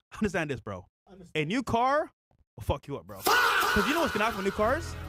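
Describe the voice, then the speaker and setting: A man in an animated tone at a very fast pace, with music in the background. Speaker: podcast co-host. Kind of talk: casual chat.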